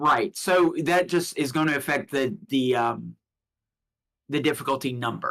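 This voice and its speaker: A man speaks in an ordinary speaking voice at a fairly slow pace. His pitch is fairly high, with ordinary pitch variation. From US South, Alabama. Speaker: tabletop game master. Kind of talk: tabletop roleplaying game narration on stream.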